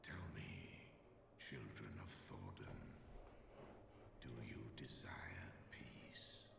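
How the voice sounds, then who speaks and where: A man whispers in a put-on character voice at a very slow pace, with long, frequent pauses, clear echo and loud background noise. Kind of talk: archaic solemn speech. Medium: game stream. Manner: grave, measured.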